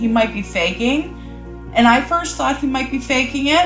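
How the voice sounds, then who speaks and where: Music can be heard in the background. Over it, a woman talks fairly slowly. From Cape Breton, Nova Scotia, Canada. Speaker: vlogger. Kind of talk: casual storytelling to camera.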